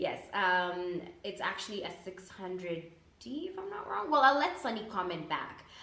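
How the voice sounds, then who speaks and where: A woman's medium-pitched voice with audible room echo and noticeable background noise. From Canada, East African parents. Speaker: food blogger and radio/TV presenter. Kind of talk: casual Q&A vlog. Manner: animated, slangy.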